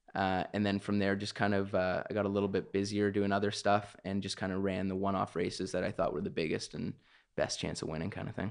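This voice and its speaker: A very fast pace in a Canadian accent, with monotone, flat intonation over a quiet background. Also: man, fairly low pitch for a man. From Canada, Ontario (Milton). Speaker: race car driver. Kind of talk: casual interview. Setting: home studio, dining room table.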